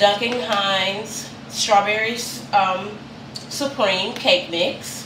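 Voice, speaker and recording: Noticeable background noise sits behind a woman's speech. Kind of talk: cooking tutorial. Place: kitchen. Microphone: camera far.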